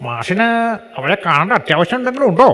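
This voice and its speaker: A man puts on a character voice, pitched high. His intonation is lively and his pace fairly slow. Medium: stage play. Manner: chatty, helpful.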